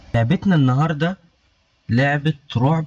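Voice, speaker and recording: A man with an Egyptian accent, somewhat breathy, at a fairly slow pace with ordinary pitch variation. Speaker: gaming youtuber. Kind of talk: let's play commentary.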